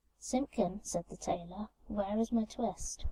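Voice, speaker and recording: The voice is soft-spoken. Its tone is calm. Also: woman. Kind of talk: soft-spoken bedtime story reading. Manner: soft, calm, relaxing.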